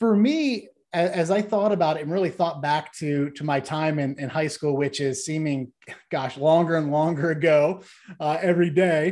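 A man with an American accent speaks in a normal speaking voice at a moderate pace. His pitch is fairly high, with ordinary pitch variation. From Ohio, US Midwest. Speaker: corporate training company president. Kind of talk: interview.

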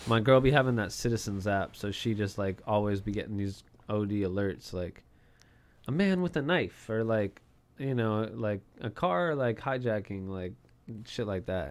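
Moderate pace and ordinary pitch variation in a very clean recording with a silent background. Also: man, fairly low pitch for a man. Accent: Californian. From US West Coast, Southern California. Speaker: music artist and entrepreneur. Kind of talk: casual interview chat.

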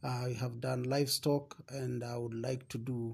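At a medium pitch and moderate pace, a man speaks in a somewhat breathy voice with monotone, flat intonation. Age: 50s. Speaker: father interviewed by his daughter. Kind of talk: casual interview. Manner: halting.

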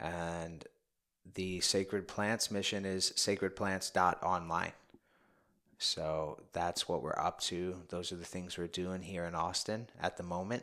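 Very slowly, a man talks in a very deep, low voice with a bright, sharp tone. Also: fairly even intonation. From New York City (Bronx). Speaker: men's coach. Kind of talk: casual interview.

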